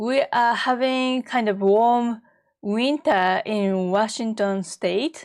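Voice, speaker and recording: Against a quiet background, a woman speaks very slowly in a fairly high pitch with ordinary pitch variation. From Japan, Tokyo. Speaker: art teacher. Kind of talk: live-streamed painting workshop. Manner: casual, with fillers and restarts.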